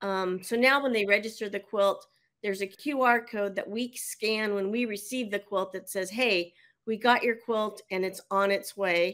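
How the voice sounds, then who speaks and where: In a normal speaking voice, a woman speaks at a moderate pace and medium pitch with fairly even intonation, on a very clean recording with a silent background. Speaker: quilting charity organizer. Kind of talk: casual interview storytelling.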